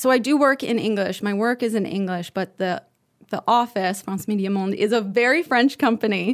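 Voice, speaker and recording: In a very clean recording with a silent background, a woman with an American accent has an unremarkable speaking voice and ordinary pitch variation. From United States. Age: 30s. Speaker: TV journalist. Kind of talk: casual interview.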